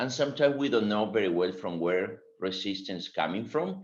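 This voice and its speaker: Over a quiet background, a man with a Spanish accent speaks with very wide pitch swings. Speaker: agile consultant and webinar speaker. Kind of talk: webinar presentation.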